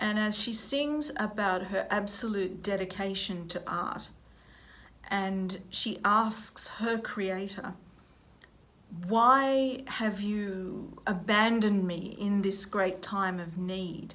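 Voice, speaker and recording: In an Australian accent, a woman speaks very slowly with a bright, sharp tone and fairly even intonation. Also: medium pitch for a woman. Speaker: opera singer, music professor. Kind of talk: interview answer. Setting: recorded at a university.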